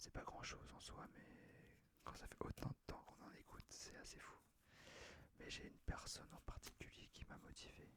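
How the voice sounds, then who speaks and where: Whispering in a relaxed tone, a man speaks at a moderate pace. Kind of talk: ASMR channel introduction, casual talk to camera. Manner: soft-spoken, relaxed, whispered ASMR style.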